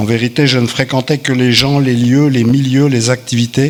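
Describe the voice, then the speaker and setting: The man has an unremarkable speaking voice at medium pitch. He keeps a moderate pace with fairly even intonation. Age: 60s. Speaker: recovering alcoholic giving testimony. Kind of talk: testimony read aloud.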